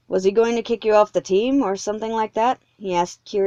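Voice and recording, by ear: Here someone is reading aloud in a natural voice, with fairly even intonation. The background is quiet.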